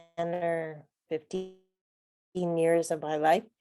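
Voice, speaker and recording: A woman speaks at a very slow pace in a fairly low voice. The sound is dry and close, with no echo. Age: 60s. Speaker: participant. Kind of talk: casual chat.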